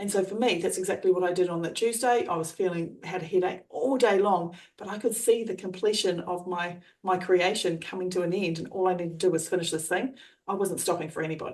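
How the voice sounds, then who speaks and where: A woman talks at a very fast pace with medium pitch and fairly even intonation. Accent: Australian. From Australia. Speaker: trainer and coach. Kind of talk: coaching explanation.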